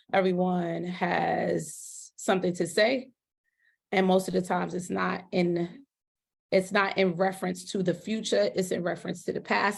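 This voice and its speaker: A woman speaks in a passionate tone at a medium pitch. Vocal fry runs through her voice. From US, urban neighborhood. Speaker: school principal. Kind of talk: podcast interview.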